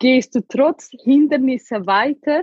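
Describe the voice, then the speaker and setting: The woman's pitch moves with ordinary variation. She talks very slowly. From Ethiopia. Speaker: survivor sharing her life story. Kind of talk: emotional testimony in an interview.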